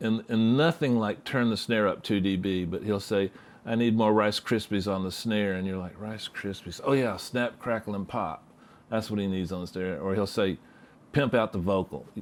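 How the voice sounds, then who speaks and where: A man's fairly low voice with a Southern US accent and ordinary pitch variation. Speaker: mixing engineer. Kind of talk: interview. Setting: studio.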